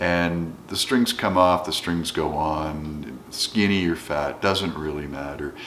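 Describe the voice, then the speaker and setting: Against noticeable background noise, a man speaks with a very deep, low pitch. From Canada. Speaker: educator, guitar hobbyist. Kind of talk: casual talk to camera.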